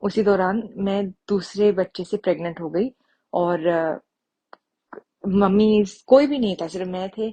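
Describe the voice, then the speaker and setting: Speaking with a Punjabi accent, a woman has a medium pitch, ordinary pitch variation and a dark, mellow tone. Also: dry, close sound with no echo. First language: Punjabi (speaking Hindi). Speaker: devotee sharing testimony. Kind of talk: testimony. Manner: halting, with fillers.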